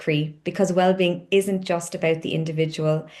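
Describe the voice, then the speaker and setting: A woman in a Cork accent talks at a moderate pace and medium pitch. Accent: Cork Irish. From Ireland, Cork. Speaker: company founder, wellness coach. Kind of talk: onboarding tutorial.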